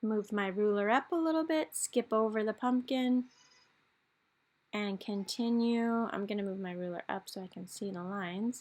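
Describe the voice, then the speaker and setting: At a moderate pace and with ordinary pitch variation, an unremarkable speaking voice comes through in a very clean recording with a silent background. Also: woman, fairly high pitch for a woman. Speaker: art teacher. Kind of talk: tutorial.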